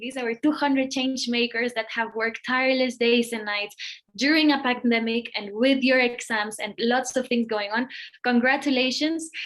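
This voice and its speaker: A woman with a Spanish accent speaks at a high pitch with fairly even intonation. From Mexico (Monterrey). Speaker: nonprofit executive, event speaker. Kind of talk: event welcome speech.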